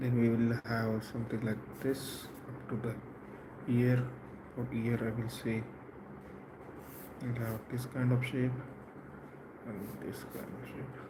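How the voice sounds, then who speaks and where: A man with a medium-pitched voice talks at a fairly slow pace in a flat monotone, leaving long, frequent pauses, with audible room echo and noticeable background noise. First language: not English. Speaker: portrait artist. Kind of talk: drawing tutorial. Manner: halting.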